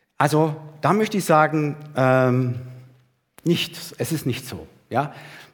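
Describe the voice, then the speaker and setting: A man's fairly high voice with ordinary pitch variation at a very slow pace. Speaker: preacher. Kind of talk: sermon to a church congregation, with a livestream audience, teaching and exhorting. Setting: church hall with a live congregation and livestream.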